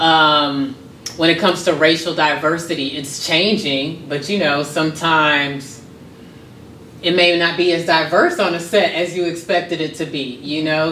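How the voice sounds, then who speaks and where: A woman's very deep, low voice with an American accent, moderate pace and fairly even intonation, light background noise and audible room echo. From US South, Miami, Florida. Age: 30s. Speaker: modeling school founder and professor. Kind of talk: interview. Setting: on location in Atlanta. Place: home room.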